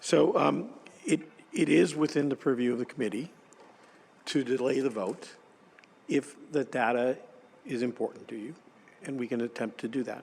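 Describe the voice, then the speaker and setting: A man puts on a hoarse character voice at medium pitch with ordinary pitch variation. He moves at a moderate pace, with long, frequent pauses. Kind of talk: formal, committee meeting.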